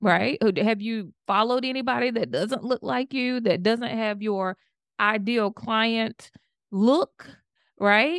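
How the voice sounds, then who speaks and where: A woman with a Southern US accent speaks at a very slow pace and a fairly high pitch with ordinary pitch variation, in a very clean recording with a silent background and a dry, close sound without echo. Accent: Southern American. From US South, Georgia. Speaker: public health professor and network marketer. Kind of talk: interview conversation.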